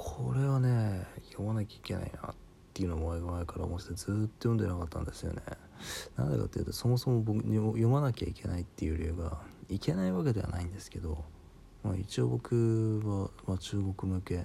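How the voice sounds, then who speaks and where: A man with a very deep, low, dark and mellow voice speaks at a fairly quick pace, sounding somewhat breathy. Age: 30s. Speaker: podcaster. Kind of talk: solo monologue. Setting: home recording late at night. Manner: casual, filler-heavy.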